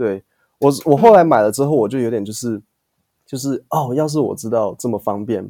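A man with a Taiwanese accent, a dark, mellow tone and medium pitch, ordinary pitch variation, a fairly quick pace, and a dry, close sound with no echo. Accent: Taiwanese Mandarin. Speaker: English teacher podcaster. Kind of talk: casual chat interview.

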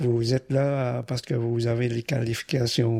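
A man with a Vietnamese accent speaks at a very slow pace in a medium pitch. His tone is dark, mellow and somewhat breathy, with a dry, close sound and no echo. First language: Vietnamese (speaking French). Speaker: immigrant retiree, engineer. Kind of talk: interview.

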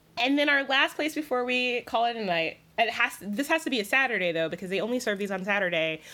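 A woman talks very fast with a Southern US accent, her fairly high pitch swinging very widely. Her tone is bright and sharp, on a very clean recording with a silent background. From US South, South Carolina. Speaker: food writer. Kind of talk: casual chat.

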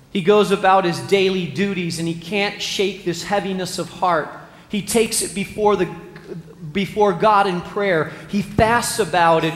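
A man's high voice with fairly even intonation, audible room echo and noticeable background noise. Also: moderate pace. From Spain. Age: 40s. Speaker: pastor. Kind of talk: sermon.

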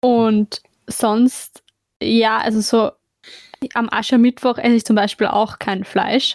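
Pausing long and often, a woman talks at a very slow pace with a fairly high pitch and monotone, flat intonation. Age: 20s. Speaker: podcast co-host. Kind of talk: casual chat.

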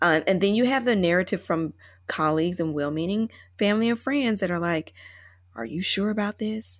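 Her fairly quick speech in an American accent comes through in a very clean recording with a silent background. This woman has a normal speaking voice, a medium pitch and lively intonation. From US South, Chattanooga, Tennessee. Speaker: attorney, actress and author. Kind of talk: interview conversation.

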